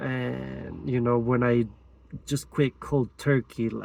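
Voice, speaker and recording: This is a man's voice. The recording is very clean and the background silent. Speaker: vlogger. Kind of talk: personal testimony. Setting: outdoors, in or by a car at a mountain spot. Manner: hesitant, halting; quiet.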